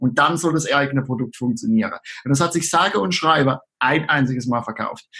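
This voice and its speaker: A man speaking at a moderate pace. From southern Palatinate, Germany. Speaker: online marketer. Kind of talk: casual interview.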